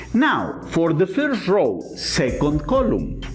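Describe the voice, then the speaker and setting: Music plays in the background as a man talks at a very slow pace. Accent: Latin American. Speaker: teacher. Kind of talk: lecture.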